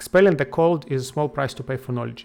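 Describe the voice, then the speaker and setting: A man with a non-native accent. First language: not English. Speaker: video game streamer. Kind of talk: gameplay commentary. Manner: halting.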